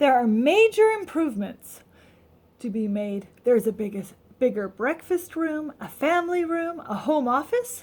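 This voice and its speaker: A woman's put-on character voice, high and raised to project, at a moderate pace with very wide pitch swings. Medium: read story.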